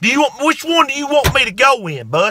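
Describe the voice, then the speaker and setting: A bright, sharp tone in a dry recording with no echo. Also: man. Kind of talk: comedic advice monologue. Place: car. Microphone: phone near.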